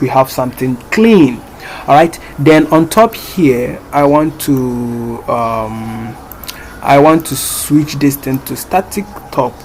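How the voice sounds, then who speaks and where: Over noticeable background noise, a man speaks with lively intonation and a fairly high pitch. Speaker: programming tutorial creator. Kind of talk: screen-recorded coding tutorial. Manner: casual with many fillers.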